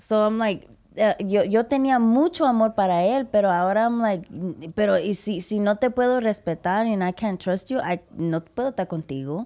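The tone is dark and mellow, with lively intonation and big swings in loudness. The pace is moderate, and the recording is very clean with a silent background. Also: woman, fairly high pitch for a woman. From Puerto Rican and Mexican heritage, US. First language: English (speaking Spanish). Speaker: podcast host and comedian. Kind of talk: casual chat. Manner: animated.

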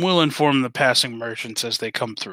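Someone puts on a character voice at a low-to-middle pitch and a fairly quick pace, on a very clean recording with a silent background. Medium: actual play. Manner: formal, stiff, uses "sir".

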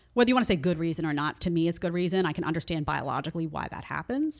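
A woman's fairly low voice with vocal fry and an American accent, at a very fast pace. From New York City. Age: 40s. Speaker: podcast host. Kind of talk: debate. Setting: studio.

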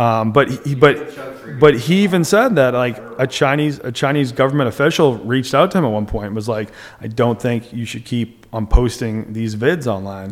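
A man with an ordinary speaking voice talks in an American accent. His pitch is medium and its variation ordinary. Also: moderate pace. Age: 30s. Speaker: comedic video creator living abroad. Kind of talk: casual interview chat.

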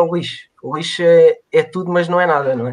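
Fairly even in intonation, a man speaks in a high pitch. His pace is moderate. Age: 20s. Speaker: mechanical engineer. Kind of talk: interview on a live stream. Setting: online live stream. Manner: halting, many repetitions.

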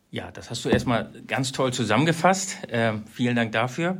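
Speaking at a fairly slow pace, a man with a medium pitch and lively intonation has an unremarkable speaking voice. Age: 40s. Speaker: company manager in wood products e-commerce. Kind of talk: interview conversation. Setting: on-site recording at the company.

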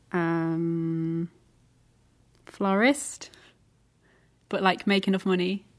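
A woman with a Lancashire accent at a very slow pace, ordinary pitch variation and long, frequent pauses. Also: medium pitch for a woman, very clean recording, silent background. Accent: northern English (Lancashire). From England, Lancaster. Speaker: podcast host. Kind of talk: casual chat.

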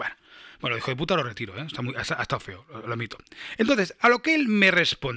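Very fast and fairly high for a man, his voice has a bright, sharp tone with vocal fry, very wide pitch swings and big swings in loudness. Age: 40s. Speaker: musician and podcast host. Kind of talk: casual monologue, reading listener comments. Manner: halting, repeats words.

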